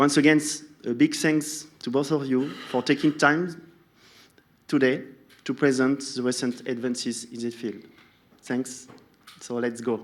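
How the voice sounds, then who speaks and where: With a French accent, the speaker moves at a fairly slow pace with fairly even intonation and long, frequent pauses. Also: man, medium pitch for a man. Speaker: session moderator at a sports science event. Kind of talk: formal speaker introduction. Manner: halting.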